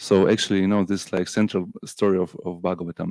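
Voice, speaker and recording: A man speaks in a Russian accent at a fairly low pitch. His intonation is monotone and flat, and the sound is dry and close with no echo. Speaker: Hare Krishna devotee lecturer. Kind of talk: scripture class lecture. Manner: halting, many fillers and repeats.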